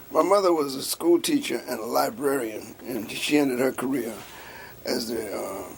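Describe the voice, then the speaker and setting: Over noticeable background noise, a man with a coastal Georgia accent talks at a moderate pace in a medium pitch, with lively intonation. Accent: Southern US, coastal Georgia. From US South, coastal Georgia (Riceboro near Savannah). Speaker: labor and civil rights activist. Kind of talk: oral history interview.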